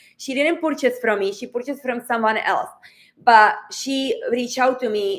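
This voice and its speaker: A woman speaks with a Czech accent at a moderate pace. Her pitch is fairly high, with ordinary variation. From Czech Republic. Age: 40s. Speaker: online business coach. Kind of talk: livestream coaching talk. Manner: animated.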